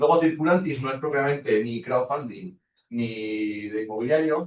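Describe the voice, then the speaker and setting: The speaker is a man at a medium pitch. His pitch varies in an ordinary way. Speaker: lecturer. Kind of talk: lecture. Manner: fast.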